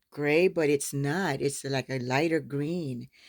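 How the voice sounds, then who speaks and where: A woman speaks in an animated tone at a fairly slow pace on a very clean recording with a silent background. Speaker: sewing YouTuber. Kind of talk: casual unboxing vlog.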